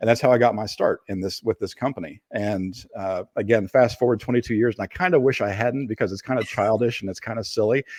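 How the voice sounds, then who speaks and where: At a very fast pace, a man with a slight Appalachian accent talks at a medium pitch with ordinary pitch variation, the sound dry and close with no echo. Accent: slight Appalachian twang. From Appalachia, Kentucky. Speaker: digital forensics expert. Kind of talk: interview. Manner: hesitant, many fillers.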